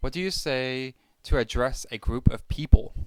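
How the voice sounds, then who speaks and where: In an American accent, a man talks at a fairly slow pace with ordinary pitch variation. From Pennsylvania. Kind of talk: casual talk to camera.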